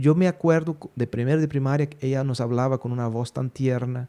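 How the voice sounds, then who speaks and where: A man talks at a medium pitch in a dark, mellow tone. He barely pauses, keeping his intonation fairly even. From Brazil, Belo Horizonte. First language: Portuguese (speaking Spanish). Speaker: podcast host. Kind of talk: casual chat. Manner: halting with fillers.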